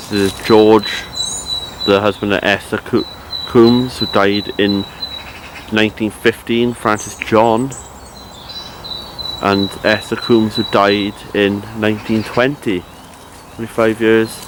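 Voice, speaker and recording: In a Cardiff accent, a man talks at a very slow pace with long, frequent pauses, a fairly low pitch and monotone, flat intonation, against noticeable background noise. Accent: Welsh (Cardiff). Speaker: history explorer vlogger. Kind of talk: walking vlog narration. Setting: outdoors in graveyard, then inside cathedral.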